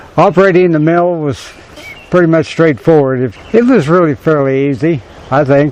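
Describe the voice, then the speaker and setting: There is noticeable noise in the background. A man talks over it at a moderate speed, his pitch variation ordinary. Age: 70s. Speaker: sawmill operator. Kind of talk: casual interview talk.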